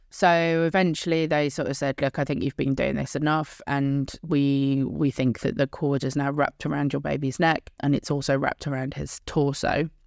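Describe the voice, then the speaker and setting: In an English accent, a woman speaks with a very deep, low pitch at a moderate pace, with hardly any pauses and fairly even intonation. The sound is dry and close with no echo, and the background is quiet. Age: 30s. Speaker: podcast host. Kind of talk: personal storytelling monologue.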